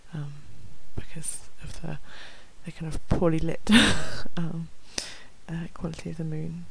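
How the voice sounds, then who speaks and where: Spoken at a fairly slow pace with long, frequent pauses, the voice has a dry sound with no echo. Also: woman. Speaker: ASMR creator. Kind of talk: ASMR soft-spoken ramble. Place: home room. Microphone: headset.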